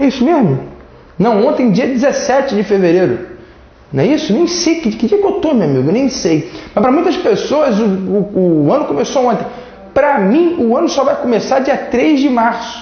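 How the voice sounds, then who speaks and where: Amid noticeable background noise and audible room echo, a man speaks at an extremely high pitch with very wide pitch swings. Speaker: law teacher. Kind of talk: lecture. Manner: casual, joking.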